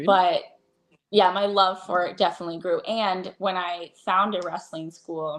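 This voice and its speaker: A woman with an unremarkable speaking voice talks at a fairly slow pace and a medium pitch, with ordinary pitch variation. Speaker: ring announcer. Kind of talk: interview answer.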